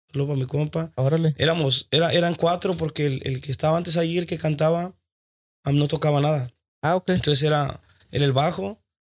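With ordinary pitch variation and a somewhat breathy quality, the speech keeps a moderate pace. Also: man. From Tijuana, Mexico. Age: 20s. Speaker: working musician and singer. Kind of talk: casual chat.

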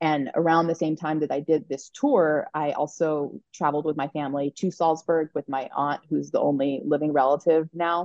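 A woman speaks at a very deep, low pitch and a moderate pace. Her intonation is monotone and flat, with hardly any pauses. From Colorado, US. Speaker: historian and professor. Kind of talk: interview.

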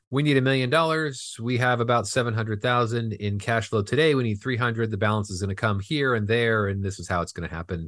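Very fast speech from a man with a Californian accent, medium pitch, ordinary pitch variation, and a quiet background. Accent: General American (Californian). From Southern California. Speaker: film finance executive. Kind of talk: interview.

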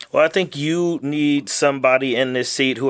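Here a man speaks in a normal speaking voice with an American accent. His pitch is medium, his pace moderate and his intonation fairly even. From Texas and Louisiana. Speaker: congressional candidate. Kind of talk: interview.

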